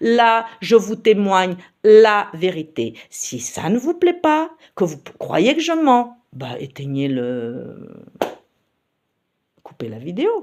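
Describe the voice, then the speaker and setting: Pausing long and often, a woman of medium pitch speaks at a very slow pace with very wide pitch swings and big swings in loudness. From Paris region, France. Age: 60s. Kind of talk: personal testimony. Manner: hesitant, many fillers.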